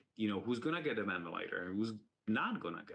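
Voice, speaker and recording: A man with a non-native accent speaks at a fairly low pitch with ordinary pitch variation. His tone is bright and sharp. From outside the United States. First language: not English. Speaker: university medical leader. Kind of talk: symposium talk. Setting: virtual symposium.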